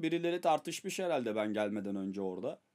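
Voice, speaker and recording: A man's animated voice at a fairly quick pace, with very wide pitch swings, over a quiet background. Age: 30s. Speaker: streamer and rapper; streamer. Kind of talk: casual storytelling to stream viewers.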